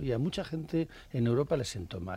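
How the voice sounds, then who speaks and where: With an unremarkable speaking voice, this man talks at a medium pitch. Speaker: cartoonist. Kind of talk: casual chat.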